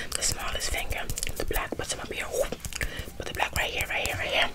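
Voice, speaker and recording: Loud background noise surrounds a soft-spoken woman. She talks at a fairly quick pace. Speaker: ASMR creator. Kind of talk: ASMR role play, soft repetitive talk. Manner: soft, hushed ASMR voice. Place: home room.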